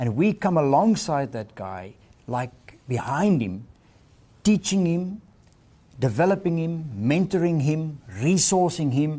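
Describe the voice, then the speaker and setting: Very slowly, a man speaks at a fairly high pitch with a dark, mellow tone. His pitch swings very widely. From South Africa. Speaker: missionary leader. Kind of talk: interview.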